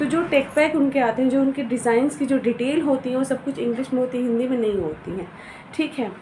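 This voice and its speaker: Noticeable background noise beneath a woman's high-pitched voice. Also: ordinary pitch variation. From Uttar Pradesh, India. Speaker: fashion designer giving career advice. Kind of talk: casual advice talk to camera. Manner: conversational with frequent hesitations.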